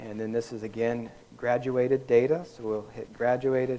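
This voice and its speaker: A man talks at a medium pitch and a moderate pace. His intonation is fairly even. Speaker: workshop instructor. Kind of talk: software tutorial. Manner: halting.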